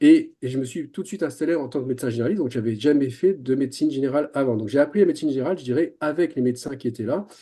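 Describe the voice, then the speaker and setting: A man speaks at a very fast pace with a fairly high pitch and ordinary pitch variation. His tone is dark and mellow. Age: 60s. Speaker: general practitioner. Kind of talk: webinar panel discussion. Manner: hesitant, many fillers and repetitions.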